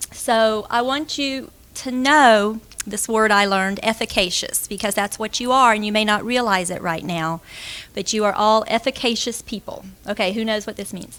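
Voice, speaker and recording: A woman talks with a Southern accent in a bright, sharp tone. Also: fairly high pitch for a woman, ordinary pitch variation. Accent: fast Southern. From Florida, US South. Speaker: school director, aerospace engineer. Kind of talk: conference talk. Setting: stage with audience.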